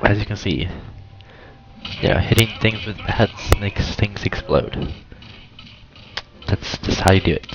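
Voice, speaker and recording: At a fairly slow pace with long, frequent pauses, a man with a fairly low pitch and ordinary pitch variation speaks over noticeable background noise. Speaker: gaming youtuber. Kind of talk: gameplay commentary. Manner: hesitant, many fillers; casual.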